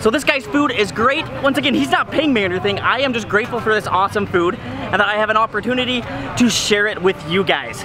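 A man's raised, projected voice at a very fast pace, dry with no echo, over clear music in the background. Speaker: travel food vlogger. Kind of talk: casual vlog chat. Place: market. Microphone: phone near.

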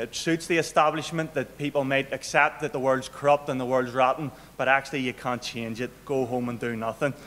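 A man with a Northern Irish accent talks at a fairly quick pace with hardly any pauses and fairly even intonation. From Northern Ireland. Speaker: local politician and activist. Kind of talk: political speech. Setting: stage with audience. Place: hall. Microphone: podium.

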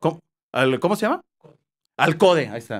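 With lively intonation, a man talks while the background stays quiet. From Mexico, Jalisco (Tepatitlán); Jalisco, Mexico. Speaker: TV news reporter. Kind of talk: interview. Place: studio. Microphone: studio mic.

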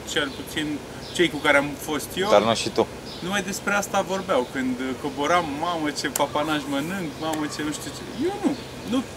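A man's moderately paced speech with ordinary pitch variation over noticeable background noise. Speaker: interviewee. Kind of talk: interview answer. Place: stadium.

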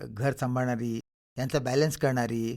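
In a plain, everyday voice, a man speaks at a medium pitch. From Vidarbha, Maharashtra (Khamgaon). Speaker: novelist and professor. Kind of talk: radio interview. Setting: radio studio.

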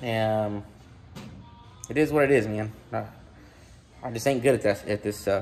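With light noise behind him, a man speaks fairly quickly, and his pitch varies ordinarily. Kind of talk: casual vlog chat. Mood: self-deprecating, relaxed. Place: garage. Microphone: phone near.

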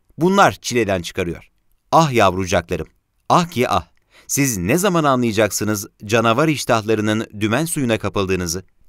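A plain, everyday voice with lively intonation comes through a very clean recording with a silent background and a dry, close sound with no echo. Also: man, medium pitch for a man, moderate pace. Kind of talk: period newspaper column read aloud.

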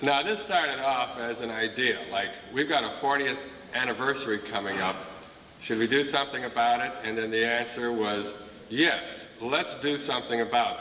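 A man speaks at a moderate pace with ordinary pitch variation. Audible room echo and light background noise surround him. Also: medium pitch for a man. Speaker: school principal. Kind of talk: ceremony emcee. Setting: stage with audience. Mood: warm, proud. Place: hall.

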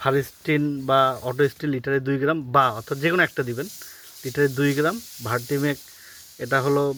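A man with a bright, sharp tone and fairly high pitch keeps his intonation fairly even. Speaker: orchard owner and YouTuber. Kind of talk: garden walkthrough tutorial. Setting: outdoors in orchard.

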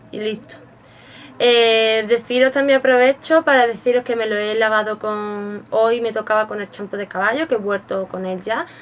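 A woman has a normal speaking voice with a fairly high pitch. She keeps a moderate pace and fairly even intonation. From Spain. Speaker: beauty vlogger. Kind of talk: product review tutorial. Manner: casual and chatty. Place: home room. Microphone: webcam.

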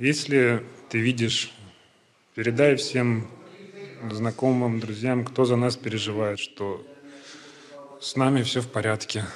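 A man's monotone, flat delivery at a very slow pace, with long, frequent pauses and light background noise. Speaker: interviewee. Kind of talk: interview answer. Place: hall. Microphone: handheld.

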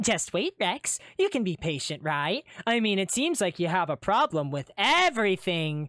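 A put-on character voice that sounds female, medium in pitch, runs at a moderate pace with hardly any pauses on a very clean recording with a silent background. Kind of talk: sarcastic, teasing. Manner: sarcastic.

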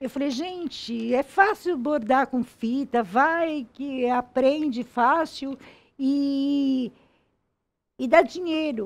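A woman speaks very slowly at a high pitch with ordinary pitch variation. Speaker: embroidery teacher. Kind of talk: interview and craft tutorial. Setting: studio. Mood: warm, animated storytelling. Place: studio. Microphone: headset.

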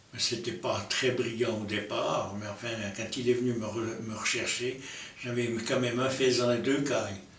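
Over light background noise and audible room echo, a man talks at a moderate pace with fairly even intonation. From Lausanne, Switzerland. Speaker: hunter. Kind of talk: interview answer. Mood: calm reminiscing. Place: home room.

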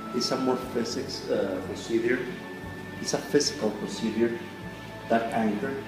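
A man speaking at a fairly slow pace over clear music in the background. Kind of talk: demonstration explanation to camera. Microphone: phone near.

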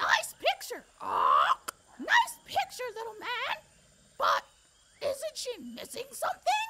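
This cartoonish character voice is extremely high and playful, moving at a fairly slow pace. Long pauses come often. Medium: puppet. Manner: exuberant, playful.

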